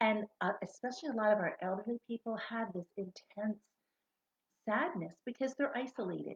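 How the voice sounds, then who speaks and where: Soft-spoken and somewhat breathy, a woman speaks at a medium pitch in a dry, close sound with no echo. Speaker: essential oils seller. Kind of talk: product tutorial.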